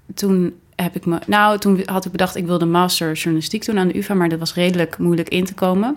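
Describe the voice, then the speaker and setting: A woman talks at a fairly quick pace with hardly any pauses, using a plain, everyday voice with a medium pitch and fairly even intonation. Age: 20s. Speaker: podcast co-host, freelance journalist. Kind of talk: casual chat. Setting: home living room turned studio.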